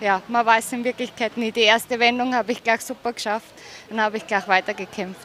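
A woman with an Austrian accent, fairly even intonation, and light background noise. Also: dry sound with no echo. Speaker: show jumping rider. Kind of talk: sports interview. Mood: cheerful, pleased. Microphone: handheld.

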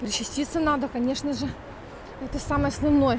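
A woman with a high voice speaks in an animated tone at a fairly quick pace, recorded dry with no echo over light background noise. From Ukraine. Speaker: vlogger. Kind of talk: vlog. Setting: outdoors, walking in street. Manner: chatty, animated. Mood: animated, humorous. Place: street. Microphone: earbuds.

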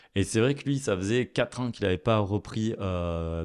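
Against a quiet background, a man with a fairly low pitch speaks at a moderate pace with ordinary pitch variation. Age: 20s. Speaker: chef; guest. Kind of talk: interview. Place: studio. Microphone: studio mic.

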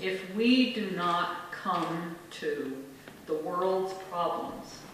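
A woman with a fairly low pitch and ordinary pitch variation, with strong room echo and light background noise. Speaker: minister. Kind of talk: acceptance speech. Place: hall.

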